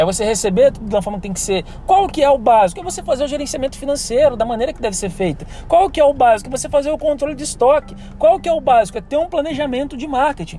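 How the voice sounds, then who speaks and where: Over noticeable background noise, someone with a Brazilian accent talks at a very fast pace with lively intonation. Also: man, extremely high pitch for a man. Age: 30s. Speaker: business consultant. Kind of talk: solo podcast monologue.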